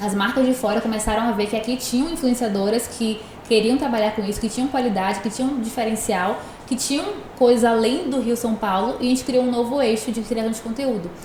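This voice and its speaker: A woman at a fairly high pitch and fairly quick pace, fairly even in intonation, over noticeable background noise. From Brazil, Northeast (Salvador, Bahia). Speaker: entrepreneur and digital influencer. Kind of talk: podcast interview.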